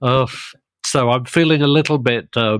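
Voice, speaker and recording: A man with a British accent talks at a medium pitch. The recording is very clean, with a silent background and a dry, close sound with no echo. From Britain. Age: 60s. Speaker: podcast host. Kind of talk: interview.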